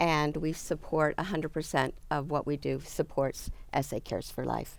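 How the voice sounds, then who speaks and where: The background is silent and the recording very clean. A woman speaks at a moderate pace. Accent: American. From Salt Lake City, Utah, US. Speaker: charity founder. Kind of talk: interview.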